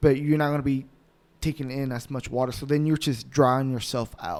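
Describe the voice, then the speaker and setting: A man's plain, everyday voice at a medium pitch, with fairly even intonation and a moderate pace. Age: 20s. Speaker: podcast co-host and bodybuilder. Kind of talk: casual chat.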